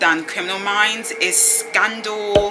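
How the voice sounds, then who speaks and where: A woman speaks with a British accent while music plays in the background. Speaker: student vlogger. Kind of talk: casual vlog chat.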